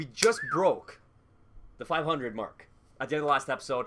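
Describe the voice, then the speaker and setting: A man with an animated tone and very wide pitch swings, at a very fast pace. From Canada. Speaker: gaming YouTuber. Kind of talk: casual gameplay commentary.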